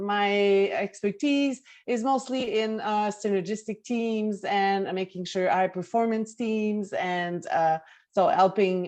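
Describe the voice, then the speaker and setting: Over a quiet background, a woman with a Quebec accent speaks at a fairly slow pace, using a medium pitch and ordinary pitch variation. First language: French. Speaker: management consultant. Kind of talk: video call introductions.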